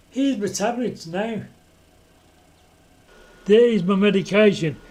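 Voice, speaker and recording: A man with a high pitch, talking at a fairly slow pace. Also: ordinary pitch variation. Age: 60s. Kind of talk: casual talk to camera.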